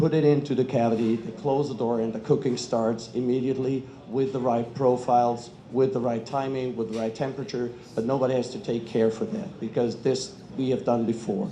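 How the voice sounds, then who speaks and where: A man with a German accent at medium pitch, fairly quick, with ordinary pitch variation and audible room echo. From Germany. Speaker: kitchen equipment industry representative. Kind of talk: panel talk.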